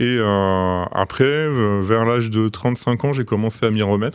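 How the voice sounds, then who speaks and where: Over a silent background on a very clean recording, a man talks at a fairly slow pace with ordinary pitch variation. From France, Troyes (Aube). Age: 40s. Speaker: logistics manager, podcast guest. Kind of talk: interview. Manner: hesitant, many fillers.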